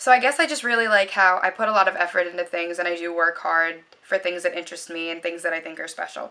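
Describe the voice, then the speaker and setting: A woman with a fairly low voice speaks very fast, hardly pausing, her loudness swinging widely. Her tone is bright and sharp, and her pitch moves in an ordinary way. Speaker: beauty vlogger. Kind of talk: casual vlog monologue. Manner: rambling with frequent fillers.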